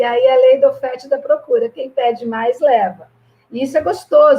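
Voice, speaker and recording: A woman's speech moves at a moderate tempo, its pitch varying in an ordinary way. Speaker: physical education professor. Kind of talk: online presentation. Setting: online live stream with sign language interpreter.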